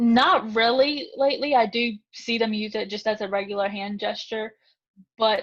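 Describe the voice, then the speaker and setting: A woman talks at a moderate pace in a fairly high pitch, an ordinary speaking voice. The background is quiet. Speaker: tutor. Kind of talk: interview.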